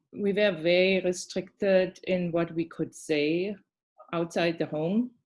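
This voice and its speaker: This woman speaks with a German accent. Her pitch is medium, with ordinary pitch variation. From East Germany, Dresden. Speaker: massage therapist. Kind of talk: interview.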